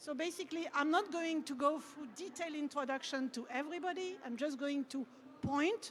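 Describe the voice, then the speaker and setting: A woman with a French accent, high-pitched, at a fairly quick pace with ordinary pitch variation. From France. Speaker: panel moderator. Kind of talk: panel discussion.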